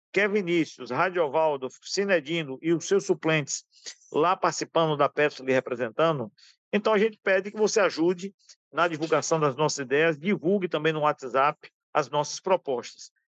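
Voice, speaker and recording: A man speaks at a moderate pace in a high voice with ordinary pitch variation. The sound is dry and close with no echo, over a quiet background. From Brazil, Bahia (Alagoinhas). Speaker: retired oil worker and union candidate. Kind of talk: interview.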